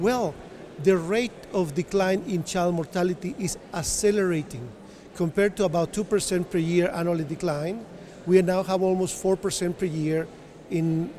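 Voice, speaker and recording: Light background noise sits behind a man's high-pitched voice. He keeps a moderate pace with ordinary pitch variation. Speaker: interviewee. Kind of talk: interview answer. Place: hall. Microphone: handheld.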